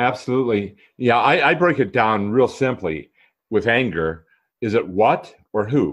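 Over a quiet background, a man with an ordinary speaking voice talks at a fairly slow pace and medium pitch, with lively intonation. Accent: American. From Minnesota. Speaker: author and kindness advocate. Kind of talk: casual interview chat.

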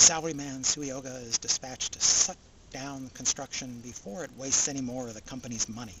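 Very fast speech from a man, with noticeable background noise and a dry sound with no echo. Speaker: anime reviewer. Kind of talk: review commentary. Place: open country.

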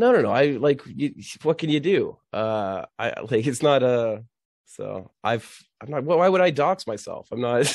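Over a quiet background, a man with an unremarkable speaking voice talks fairly slowly in a fairly high pitch with lively intonation. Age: 30s. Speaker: podcast guest, Twitter personality. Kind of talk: casual chat. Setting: remote call.

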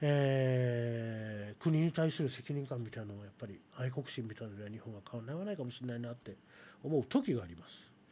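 A man with a dark, mellow tone talks at a fairly quick pace, his loudness swinging widely and his pitch varying in an ordinary way. Light background noise is present. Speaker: live streaming radio host. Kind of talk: casual chat. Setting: live stream. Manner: talkative, chatty. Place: studio. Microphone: studio mic.

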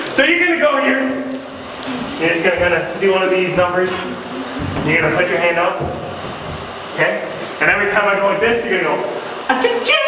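Delivered at a very fast pace, the raised, projected voice rings with strong room echo over noticeable background noise. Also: man. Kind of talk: stage comedy instructions. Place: stage. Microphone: camera far.

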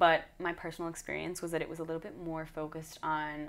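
Her fairly low pitch and ordinary pitch variation mark a woman's normal speaking voice, which moves at a fairly quick pace. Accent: American. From Michigan, US Midwest. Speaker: dance instructor and performer. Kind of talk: interview. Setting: dance festival.

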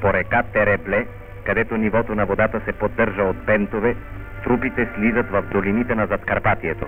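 Over music in the background, a man speaks at a moderate pace with a fairly low pitch. His intonation is monotone and flat, and his loudness stays very even. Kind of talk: newsreel narration.

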